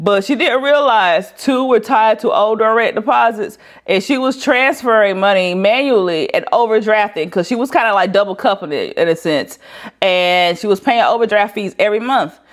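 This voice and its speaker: On a very clean recording with a silent background, a woman speaks at a fairly high pitch with lively intonation. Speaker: financial planner and money educator. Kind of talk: tutorial. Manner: fast; conversational, with filler words.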